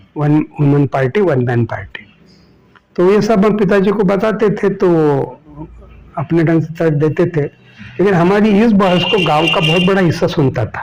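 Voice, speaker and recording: Noticeable background noise fills the recording. Through it a man speaks with a high voice. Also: ordinary pitch variation. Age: 70s. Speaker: social activist. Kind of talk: interview.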